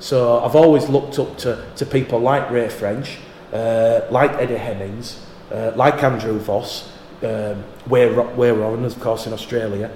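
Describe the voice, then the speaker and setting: Man with a Yorkshire accent, medium pitch, fairly even intonation and a fairly slow pace, over noticeable background noise. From Yorkshire, northern England. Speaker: rugby league radio commentator. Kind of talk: casual interview chat.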